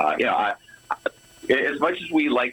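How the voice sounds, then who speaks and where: A man speaks at a moderate pace while noticeable background noise plays. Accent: Boston. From Boston suburbs, Massachusetts. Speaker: guitarist in a tribute band. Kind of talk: interview. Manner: halting, many repeated words.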